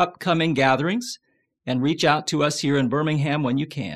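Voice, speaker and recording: A plain, everyday voice at a moderate pace. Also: man. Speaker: podcast host. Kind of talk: casual interview.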